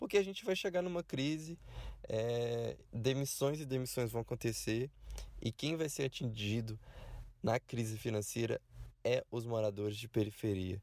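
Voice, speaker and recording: A man's dark, mellow voice moves fairly slowly on a very clean recording with a silent background. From Belo Horizonte, Minas Gerais. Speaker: community activist. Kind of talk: recorded voice message.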